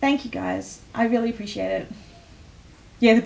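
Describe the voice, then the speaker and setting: Speaking with an Australian accent, a woman's voice sits fairly high in pitch. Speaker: livestream host presenting a sticker collection. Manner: energetic, frequent fillers.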